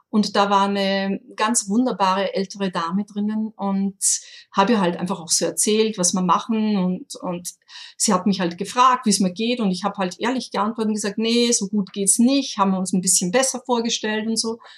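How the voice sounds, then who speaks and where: Somewhat breathy, a woman with an Austrian accent speaks at a medium pitch and a moderate pace with fairly even intonation. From rural Austria. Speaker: online shop owner, incense expert. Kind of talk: interview. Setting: remote call. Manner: halting, many fillers.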